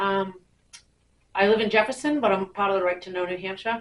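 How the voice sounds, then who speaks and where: Loudly, a woman speaks with fairly even intonation. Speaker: public commenter, open-government activist. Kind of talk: public comment at town meeting. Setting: town meeting room.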